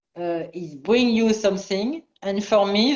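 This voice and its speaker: With a French accent, a woman speaks at a fairly slow pace with ordinary pitch variation. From France. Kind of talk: casual chat. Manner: halting.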